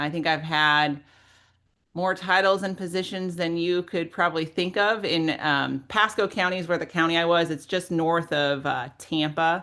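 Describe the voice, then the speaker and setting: Over a quiet background, a woman with an American accent speaks at a moderate pace in a fairly low, bright, sharp voice with fairly even intonation. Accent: Midwestern, comes out sometimes. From Minnesota, US Midwest. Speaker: local government leader, webinar speaker. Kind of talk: webinar interview.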